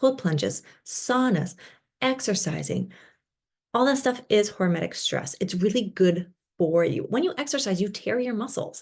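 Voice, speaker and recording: Over a quiet background, a woman speaks in an animated tone with lively intonation. Vocal fry runs through her voice. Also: medium pitch for a woman. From Britain. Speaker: breathwork teacher. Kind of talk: online masterclass lecture. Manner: fast.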